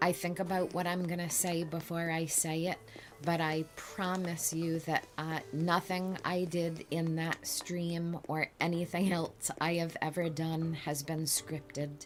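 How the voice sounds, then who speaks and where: A woman's fairly low, monotone, flat voice with hardly any pauses, over music in the background. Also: fairly slow pace. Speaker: streamer's mother showing her game island. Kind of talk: casual chat. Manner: slow, deliberate.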